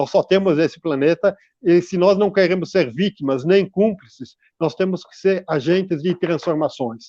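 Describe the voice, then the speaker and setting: A man at a high pitch with a dark, mellow tone and big swings in loudness, in a dry, close sound with no echo. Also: ordinary pitch variation, moderate pace. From Brazil, São Paulo city. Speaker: environmental researcher. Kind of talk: radio interview. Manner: halting, many fillers and repetitions.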